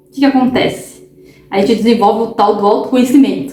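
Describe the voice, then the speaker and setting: A loud woman with a high pitch talks at a fairly quick pace with ordinary pitch variation. Audible room echo and noticeable background noise surround her. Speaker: holistic therapist and tarot reader. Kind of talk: casual vlog monologue. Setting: home recording at night. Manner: talkative, tends to speak loudly; animated, repetitive fillers.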